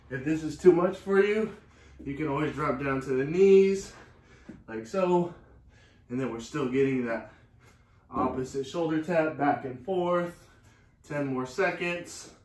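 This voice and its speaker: Amid audible room echo, a man with a fairly high pitch and ordinary pitch variation talks at a fairly slow pace, with long, frequent pauses. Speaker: fitness instructor. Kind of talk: guided workout class with cues and countdowns. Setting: online live class, video. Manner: energetic, clipped, motivating; rhythmic, counting down out loud. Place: garage. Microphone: camera far.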